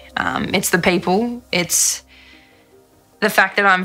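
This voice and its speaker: Faint music plays behind the speaker. She is a woman with a fairly low pitch. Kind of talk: interview answer. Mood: reflective, sincere. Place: studio. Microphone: studio mic.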